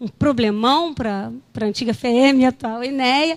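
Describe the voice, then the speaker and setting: Her voice has a fairly high pitch for a woman and ordinary pitch variation. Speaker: geologist at environmental agency. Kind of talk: conference presentation. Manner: hesitant, many fillers.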